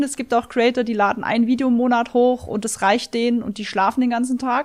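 A woman with an unremarkable speaking voice, fairly high in pitch, at a fairly quick pace. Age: 30s. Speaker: video game streamer. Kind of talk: interview.

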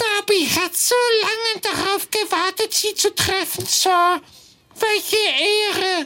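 A put-on character voice pitched extremely high, shrill and squeaky. It moves at a fairly slow pace. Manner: eager, reverent.

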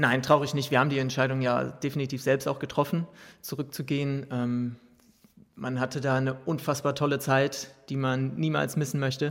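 A man with an unremarkable speaking voice talks at a moderate pace and medium pitch with fairly even intonation, on a very clean recording with a silent background. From Ruhr area, Germany. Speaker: professional footballer. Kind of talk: interview. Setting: press container at a stadium.

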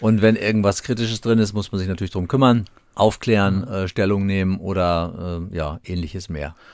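A plain, everyday voice with fairly even intonation moves at a fairly quick pace on a very clean recording with a silent background. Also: man, fairly low pitch for a man. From Hesse, Germany (Gießen). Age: 60s. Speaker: police chief. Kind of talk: interview.

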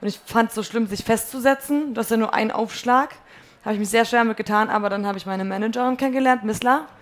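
A woman talks at a very fast pace, her fairly high pitch carried on fairly even intonation. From northern Germany (North Frisia). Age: 20s. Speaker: musician. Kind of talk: casual chat. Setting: stage with audience.

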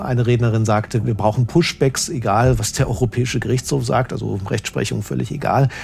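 A man speaks at medium pitch and a moderate pace. Background noise is noticeable. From eastern Germany, Leipzig. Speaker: political correspondent. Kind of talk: interview conversation.

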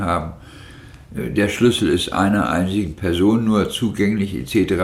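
With audible room echo, the speaker goes at a fairly slow pace with ordinary pitch variation. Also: man. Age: 50s. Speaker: long-term drug addict, former night-shift hospital aide. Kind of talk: interview testimony. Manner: hesitant with fillers.

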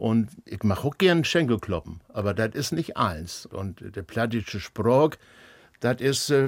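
A man speaks at medium pitch and a very slow pace with lively intonation. The recording is very clean, with a silent background. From northern Germany. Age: 70s. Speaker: folk musician, band founder. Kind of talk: casual chat.

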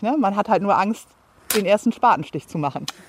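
A woman talks very fast with lively intonation and a fairly high pitch. Noticeable background noise runs underneath. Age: 30s. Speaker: homeowner and mother. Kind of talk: casual chat. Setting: outdoors in a garden.

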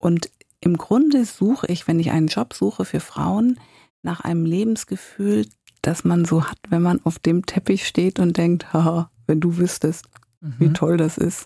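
Recorded in a dry, close sound with no echo, a woman speaks at a fairly slow pace with a fairly low pitch. Her somewhat breathy voice has a dark, mellow tone and lively intonation. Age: 50s. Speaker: career coach. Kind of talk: interview.

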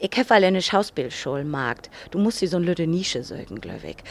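A woman's fairly low, normal speaking voice at a fairly quick pace, with lively intonation. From northern Germany, Cuxhaven. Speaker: actress and singer. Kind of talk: casual chat in Low German. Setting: studio.

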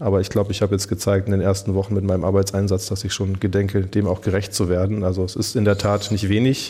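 At a very fast pace and with hardly any pauses, a man speaks in a fairly low pitch with a dark, mellow, somewhat breathy tone and monotone, flat intonation. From Germany, Rhineland-Palatinate (Pirmasens). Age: 40s. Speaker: politician, federal maritime coordinator. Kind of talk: radio interview. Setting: government office.

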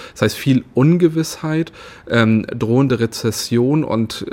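A man with an unremarkable speaking voice, ordinary pitch variation and a fairly slow pace. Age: 30s. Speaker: politician. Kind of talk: interview. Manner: frequent filler sounds.

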